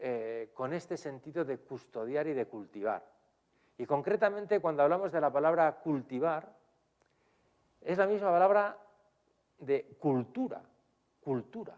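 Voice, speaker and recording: The speaker talks in a Spanish accent at a fairly slow pace, with long, frequent pauses. The intonation is lively. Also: man, fairly high pitch for a man. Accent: Spanish (Spain). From Spain. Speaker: priest and theology professor. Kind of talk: lecture. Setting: lecture hall with audience, streamed. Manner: hesitant, with frequent fillers.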